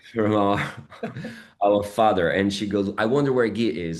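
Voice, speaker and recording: A man with a Brazilian accent talks at a moderate pace. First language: Portuguese. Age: 40s. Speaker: actor. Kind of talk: interview. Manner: halting, many fillers.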